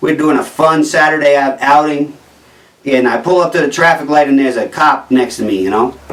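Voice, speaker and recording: With a New Jersey accent, a man talks at a fairly quick pace in a fairly high pitch with ordinary pitch variation. Noticeable background noise is present. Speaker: comedian. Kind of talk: stand-up comedy monologue.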